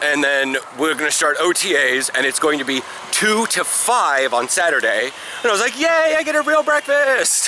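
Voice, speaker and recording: A man's raised, projected voice, high in pitch with very wide pitch swings and very even loudness, at a moderate pace over noticeable background noise. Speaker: semi-pro football player. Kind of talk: casual vlog talk.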